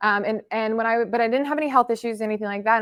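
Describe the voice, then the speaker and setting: A woman speaks at a very fast pace with an animated tone and a fairly high pitch. The sound is dry and close, with no echo. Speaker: wellness practitioner. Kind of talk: presentation to a live and online audience. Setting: live talk with audience, also streamed.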